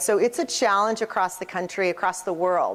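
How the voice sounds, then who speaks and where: A woman with a medium-pitched voice is heard on a very clean recording against a silent background. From Nebraska (Lincoln). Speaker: keynote speaker, marketing agency professional. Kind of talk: keynote presentation. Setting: stage with audience, conference. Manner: fast; frequent fillers and 'right?' tags.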